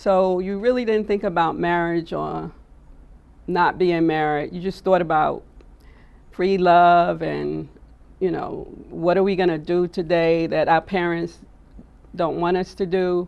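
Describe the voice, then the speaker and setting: With an American accent, a woman talks at a fairly low pitch. She speaks in a flat monotone with long, frequent pauses. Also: fairly slow pace. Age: 60s. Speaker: attorney. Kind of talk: testimony. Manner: halting.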